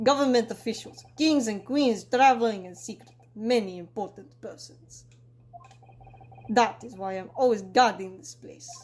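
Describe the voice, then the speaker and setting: Someone puts on a gruff character voice and speaks at a moderate pace. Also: man, high pitch for a man. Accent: Russian. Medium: solo performance. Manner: blunt broken English, gruff.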